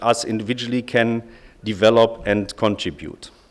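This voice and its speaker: Speaking at a moderate pace, a man talks in a German accent. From Germany. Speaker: lawyer, bar association representative. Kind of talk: conference speech.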